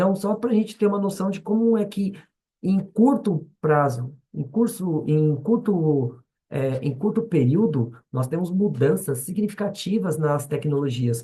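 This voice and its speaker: Lively in intonation, a man speaks at a high pitch with a dark, mellow tone. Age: 40s. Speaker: schoolteacher. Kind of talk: lecture. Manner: halting, many fillers and restarts.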